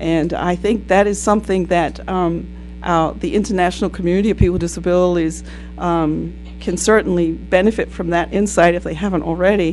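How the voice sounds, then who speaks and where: Music can be heard behind the voice. The delivery is fairly quick. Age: 60s. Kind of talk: panel talk. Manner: halting, many fillers.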